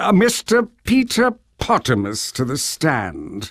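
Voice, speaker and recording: A man does a put-on character voice at a high pitch and a fairly slow pace. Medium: video game. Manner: hesitant, filled with "uh".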